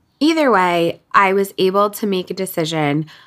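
Here is a plain, everyday voice with an American accent. It moves at a moderate pace. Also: woman. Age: 30s. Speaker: podcast host and author. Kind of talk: casual monologue. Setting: at home, windows open.

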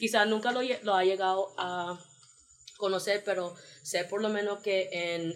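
With an ordinary speaking voice, a woman talks in a medium register, her intonation fairly even. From New York, US, Panamanian family. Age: 20s. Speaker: Peace Corps volunteer. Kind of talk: casual interview.

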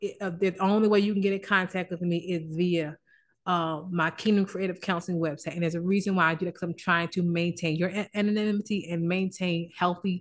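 Her tone is animated, and her pitch is fairly low for a woman. She talks at a fairly quick pace. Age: 40s. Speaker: licensed therapist and podcast host. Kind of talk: casual motivational talk. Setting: office. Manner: halting.

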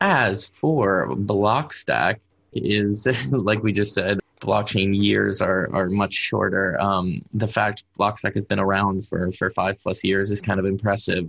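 A man's fairly low-pitched voice with an American accent and vocal fry, at a very slow pace, with very even loudness and ordinary pitch variation. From US, Pittsburgh. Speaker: developer evangelist. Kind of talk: interview.

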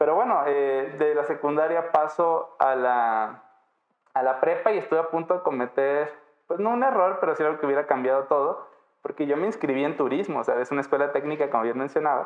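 At a fairly quick pace, a man talks in an ordinary speaking voice, fairly high-pitched, with ordinary pitch variation and very even loudness. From Mexico, Baja California Sur. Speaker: electronics engineer in IoT lab. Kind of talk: interview.

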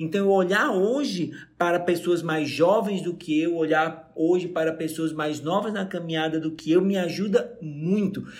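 Audible room echo hangs around the speech. The man keeps a moderate tempo. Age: 40s. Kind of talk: casual chat.

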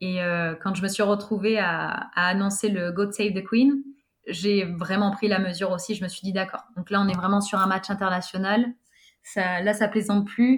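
A woman at medium pitch and a moderate pace, with fairly even intonation. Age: 20s. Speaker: stadium announcer and master of ceremonies. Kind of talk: casual interview. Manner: halting, repeats words.

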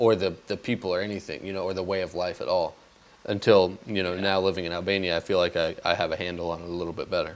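A man with an American accent talks at a very fast pace in a very deep, low voice. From US. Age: 20s. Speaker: podcast host, expat. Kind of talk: casual chat.

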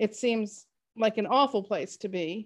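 An unremarkable speaking voice from a woman, medium pitch and fairly even intonation, against a quiet background. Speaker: author and co-host. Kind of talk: casual chat.

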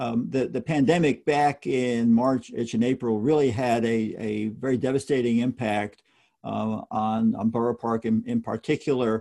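A man with a plain, everyday voice, an American accent and medium pitch, at a moderate pace with fairly even intonation. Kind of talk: interview. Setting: video call.

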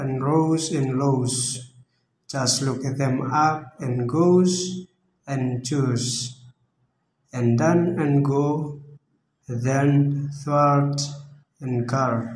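Very slow speech from a man with a non-native accent, fairly high in pitch, with long, frequent pauses and fairly even intonation. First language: not English. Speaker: language learner. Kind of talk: reading aloud. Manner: halting.

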